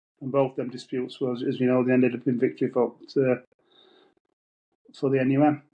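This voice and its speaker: A man with a Yorkshire accent speaks at a very fast pace in a medium pitch, his intonation monotone and flat, broken by long, frequent pauses. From northern England, Wakefield area (Yorkshire). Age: 70s. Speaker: former miner and trade unionist. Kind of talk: interview testimony. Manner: halting, repeats words.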